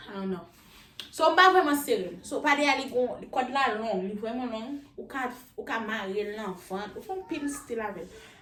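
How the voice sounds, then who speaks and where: Amid noticeable background noise, a woman with a high pitch talks fairly quickly, her pitch swinging very widely and her loudness shifting a lot. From Haiti. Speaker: YouTuber. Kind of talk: casual talk to camera, try-on haul. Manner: upbeat.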